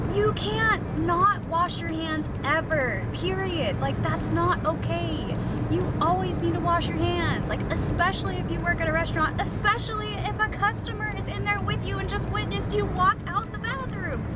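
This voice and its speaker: Against music in the background, a woman speaks with hardly any pauses in a dry sound with no echo. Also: moderate pace. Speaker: travel vlogger. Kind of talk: casual vlog chat. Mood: annoyed, storytelling. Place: car. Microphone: phone near.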